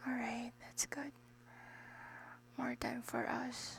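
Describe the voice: A woman speaks slowly with a fairly high pitch and some vocal fry. Her intonation is monotone and flat.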